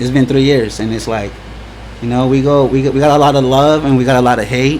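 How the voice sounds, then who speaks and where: Over noticeable background noise and audible room echo, a man speaks in a monotone, flat way, leaving long, frequent pauses. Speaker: event organizer. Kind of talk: casual chat. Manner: halting, repeats words.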